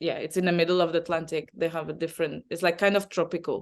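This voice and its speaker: In a Portuguese accent, a woman with a fairly low voice speaks in a flat monotone against a quiet background. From Azores, Portugal. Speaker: travel advisor. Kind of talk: interview answer.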